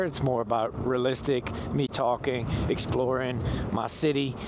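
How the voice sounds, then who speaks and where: A man speaks over noticeable background noise. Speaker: e-bike vlogger. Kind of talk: casual vlog monologue while riding. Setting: outdoors on an e-bike. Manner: loud.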